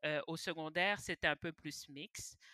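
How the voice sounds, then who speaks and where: At a moderate pace, a woman with an unremarkable speaking voice and a fairly low pitch talks in a dry, close sound with no echo. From Quebec, Montreal (Pointe-aux-Trembles). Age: 20s. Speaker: podcast guest. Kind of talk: casual chat.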